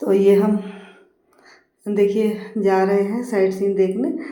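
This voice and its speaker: This woman's voice sits at a medium pitch and moves at a fairly slow pace. Audible room echo surrounds it. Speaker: travel vlogger. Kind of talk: travel vlog narration. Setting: outdoors, travelling by taxi and horse. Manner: halting, many filler sounds.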